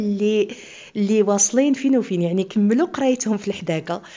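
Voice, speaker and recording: A woman with an eastern Moroccan accent, lively intonation and a moderate pace. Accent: eastern Moroccan Arabic (Oujda). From eastern Morocco, Oujda; Morocco. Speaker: cooking channel host. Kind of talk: cooking tutorial. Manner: casual, chatty. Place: home room. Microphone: phone near.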